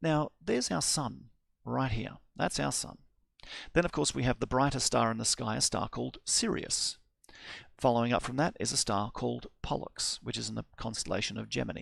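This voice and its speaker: An Australian accent from a man at a fairly quick pace, on a very clean recording with a silent background. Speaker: astronomer. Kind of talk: lecture.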